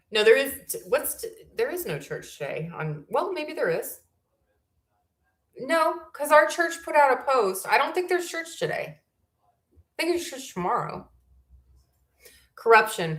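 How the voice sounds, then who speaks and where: A woman with a high pitch talks at a moderate pace, using very wide pitch swings and big swings in loudness, with long, frequent pauses. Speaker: YouTube livestream host. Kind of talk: casual livestream chat. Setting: home livestream, camera not working. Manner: occasional stutter; halting, searches for words.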